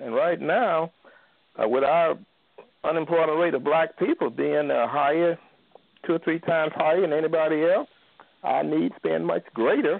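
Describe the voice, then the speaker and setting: The speaker is a man. He has an American accent. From Bryan, Texas. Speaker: caller. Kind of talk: call-in discussion on church. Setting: phone call.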